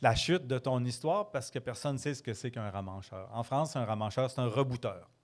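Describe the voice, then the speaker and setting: A man with a slight Quebec accent speaks at a fairly quick pace with hardly any pauses, medium pitch and ordinary pitch variation, in a very clean recording with a silent background. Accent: Quebec French, mild. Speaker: storyteller. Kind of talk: casual interview. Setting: pub with live audience.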